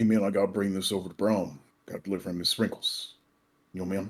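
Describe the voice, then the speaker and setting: This man puts on a character voice with a fairly low pitch. He talks at a very fast pace. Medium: actual play. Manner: casual, says man constantly.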